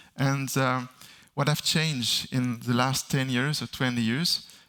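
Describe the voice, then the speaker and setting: Bright and sharp in tone, this voice carries a French accent and moves at a fairly slow pace with fairly even intonation. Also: man. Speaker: sound designer. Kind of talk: conference Q&A answers. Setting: stage with audience. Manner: halting, many fillers.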